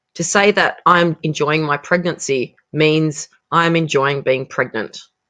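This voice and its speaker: A woman with an Australian accent, very deep and low-pitched, with a bright, sharp tone at a very slow pace. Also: quiet background. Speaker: English teacher. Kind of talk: educational vocabulary lesson.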